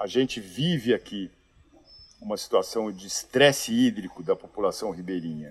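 A man speaking at a fairly slow pace. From Brazil, São Paulo. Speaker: social project founder. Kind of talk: interview conversation.

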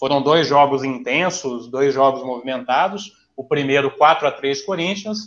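At a fairly slow pace, a man uses an ordinary speaking voice, fairly high in pitch, with ordinary pitch variation. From Maringá, northern Paraná, Brazil. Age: 30s. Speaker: teacher, football fan guest. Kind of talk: casual chat.

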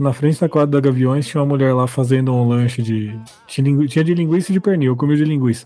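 Noticeable background noise sits under a man talking at a very fast pace. His loudness is very even and his pitch variation ordinary. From São Bernardo do Campo, São Paulo, Brazil. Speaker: podcast co-host. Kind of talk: casual chat.

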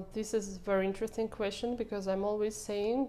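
A woman with a dark, mellow tone and medium pitch speaks with fairly even intonation. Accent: Russian. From Russia. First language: Russian. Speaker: social media manager. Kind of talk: podcast interview.

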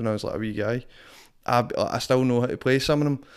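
On a very clean recording with a silent background, a man speaks at a very fast pace in a strong Glasgow accent. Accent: strong Glaswegian Scottish. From Glasgow, Scotland. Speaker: rapper and performing artist. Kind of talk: casual interview chat. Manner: casual, swears a lot, filler phrases.

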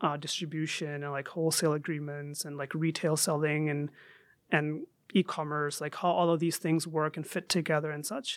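On a very clean recording with a silent background, a man with a Chicago accent talks at a fairly quick pace. His fairly high voice stays monotone and flat. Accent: American (Chicago area). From Saudi Arabia, then Chicago suburbs from sixth grade. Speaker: Islamic scholar and jurist. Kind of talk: casual interview.

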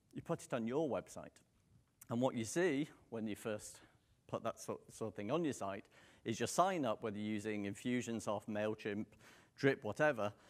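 A man with a British accent, at a moderate pace and with ordinary pitch variation. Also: medium pitch for a man. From Manchester, northern England. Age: 40s. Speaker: marketing speaker. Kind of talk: conference talk. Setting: stage with audience.

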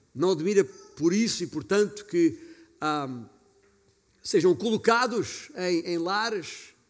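Here a man talks at a high pitch with lively intonation. He goes very slowly, with long, frequent pauses. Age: 50s. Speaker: pastor. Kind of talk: sermon.

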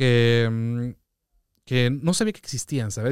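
On a very clean recording with a silent background and a dry, close sound with no echo, a man with an unremarkable speaking voice talks at a medium pitch and moderate pace. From Mexico City. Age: 30s. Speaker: DJ and music producer. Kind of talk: casual chat.

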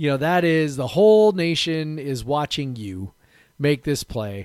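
A man speaks at a medium pitch, swinging it very widely up and down. The recording is very clean, with a silent background. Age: 40s. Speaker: sports podcast co-host. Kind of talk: casual chat.

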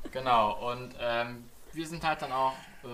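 At a fairly slow pace, a man talks in a plain, everyday voice at medium pitch. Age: 20s. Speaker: podcast co-host, streamer. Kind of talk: casual chat.

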